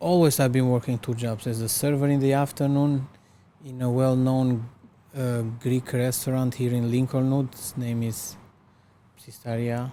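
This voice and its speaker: At a moderate pace, a man speaks in a dark, mellow voice with monotone, flat intonation. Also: medium pitch for a man. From Albania. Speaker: restaurant owner. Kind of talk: interview.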